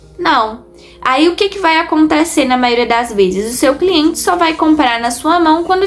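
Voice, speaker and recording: A woman's pitch swings very widely against noticeable background noise. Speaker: online seller and youtuber. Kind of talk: tutorial. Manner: deliberately slower here.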